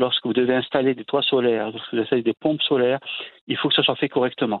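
A man speaks at a very fast pace with monotone, flat intonation. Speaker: energy agency director. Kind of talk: interview.

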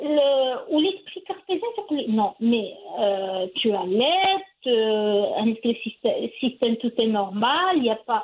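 The voice moves very slowly, with very wide pitch swings. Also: woman, high pitch for a woman. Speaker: mother sharing parenting story. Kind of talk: interview testimony. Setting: at her home. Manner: cheerful; halting.

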